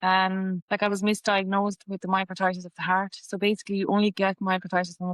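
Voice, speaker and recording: In a western Irish accent, a woman talks at a very fast pace with a medium pitch and monotone, flat intonation. The sound is dry and close, with no echo. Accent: Irish (west of Ireland). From Ireland, Galway. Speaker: patient sharing illness story. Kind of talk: testimony.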